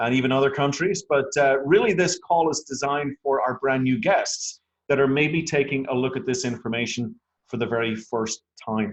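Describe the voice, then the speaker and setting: This speaker sounds enthusiastic, talking at a fairly quick pace with an Irish accent and ordinary pitch variation. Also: man. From Ireland. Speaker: network marketing presenter. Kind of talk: sales pitch. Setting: phone conference call.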